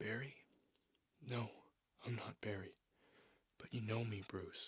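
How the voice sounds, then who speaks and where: Whispering in a soft-spoken, somewhat breathy way, a man goes at a fairly slow pace with very even loudness. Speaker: ASMR artist and comic book reader. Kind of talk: narrated comic reading. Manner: whispered, soft-spoken.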